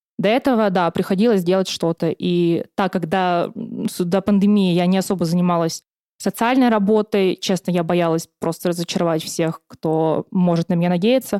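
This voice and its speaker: On a very clean recording with a silent background and a dry, close sound with no echo, a woman speaks in an unremarkable speaking voice with very even loudness, ordinary pitch variation and a moderate pace. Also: medium pitch for a woman. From Siberia, Russia. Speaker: former student union chair. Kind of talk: casual interview.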